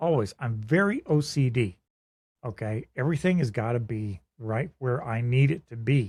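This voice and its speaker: A somewhat breathy voice with lively intonation at a moderate pace, on a very clean recording with a silent background. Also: man, medium pitch for a man. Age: 70s. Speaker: podcast co-host. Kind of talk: casual chat.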